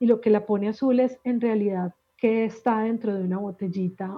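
With a plain, everyday voice, a woman speaks at medium pitch and a moderate pace, her intonation fairly even. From Colombia, Medellín. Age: 40s. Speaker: life coach and emotional healing expert. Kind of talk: podcast interview.

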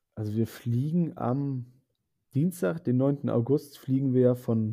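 A man speaks very slowly. His pitch is medium, with ordinary variation. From northern Germany, Bremerhaven. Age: 20s. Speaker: zookeeper, exchange program participant. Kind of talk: interview.

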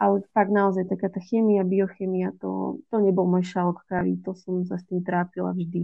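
Her loudness swings widely while her intonation stays monotone and flat. The woman speaks at a moderate pace and medium pitch. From Slovakia, Žilina. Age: 20s. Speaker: medical student. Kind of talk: interview.

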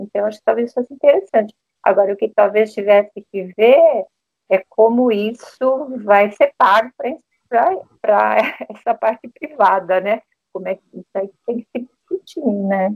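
A woman's fairly high-pitched voice at a fairly slow pace, dry and close with no echo. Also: ordinary pitch variation. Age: 60s. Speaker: retired physician. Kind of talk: interview panel discussion. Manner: halting.

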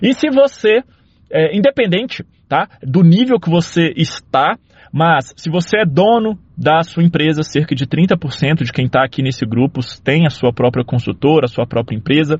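This man's pitch swings very widely. He keeps a moderate pace. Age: 30s. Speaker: civil engineer. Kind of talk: casual monologue.

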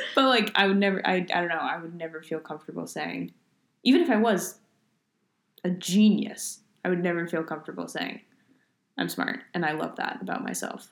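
On a very clean recording with a silent background, a woman with a fairly low pitch and vocal fry talks at a fairly quick pace, her pitch variation ordinary and her pauses long and frequent. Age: 20s. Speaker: podcast co-host. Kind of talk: casual chat.

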